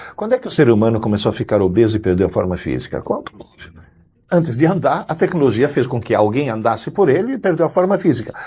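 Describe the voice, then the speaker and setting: A man's somewhat breathy voice, very wide pitch swings, very fast pace. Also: medium pitch for a man. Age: 60s. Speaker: educator, university professor. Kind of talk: interview.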